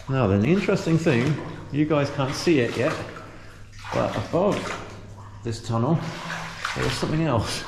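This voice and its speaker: A man talks at a moderate speed while noticeable noise carries in the background. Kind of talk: casual vlog commentary. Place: tunnel cave. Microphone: phone near.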